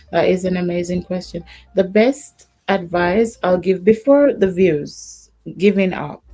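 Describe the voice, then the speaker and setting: A woman's calm tone at a fairly low pitch, with ordinary pitch variation and a very slow pace, over music in the background. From Jamaica. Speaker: YouTube creator. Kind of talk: casual chat. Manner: soft-spoken.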